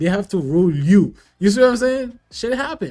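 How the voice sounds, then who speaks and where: A man speaks at a moderate pace with a strong Haitian accent, his intonation lively and his tone animated. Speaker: commentator reacting to a debate. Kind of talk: casual chat. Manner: halting, with frequent restarts.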